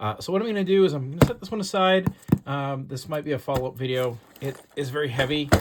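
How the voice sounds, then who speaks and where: Over noticeable background noise, a man speaks at a very fast pace with lively intonation. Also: fairly high pitch for a man. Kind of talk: casual talk to camera.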